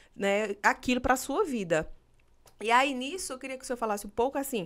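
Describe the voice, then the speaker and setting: At a fairly quick pace, a woman with a Pernambuco accent speaks at a high pitch with lively intonation, on a very clean recording with a silent background. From Pernambuco, Brazil. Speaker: military exam coach and podcast host. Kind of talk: live interview chat.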